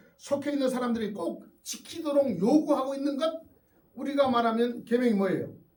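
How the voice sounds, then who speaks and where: Audible room echo follows a man with an extremely high pitch as he speaks at a moderate pace with lively intonation. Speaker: pastor. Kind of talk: sermon. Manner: conversational, with fillers.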